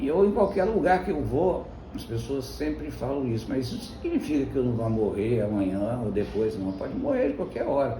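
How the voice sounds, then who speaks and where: A man at a moderate pace, with audible room echo. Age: 60s. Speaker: pastor and Greek teacher. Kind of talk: informal devotional talk. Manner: conversational.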